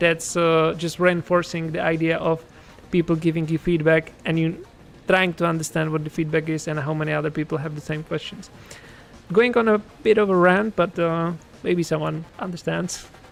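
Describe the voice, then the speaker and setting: Moderate-paced speech in a Czech accent with music in the background. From Czech Republic. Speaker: game developer and streamer. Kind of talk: casual livestream chat. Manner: hesitant, many fillers.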